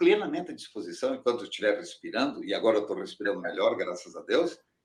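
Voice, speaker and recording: A man talks at a very fast pace. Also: hardly any pauses. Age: 70s. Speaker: engineering professor. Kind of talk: interview.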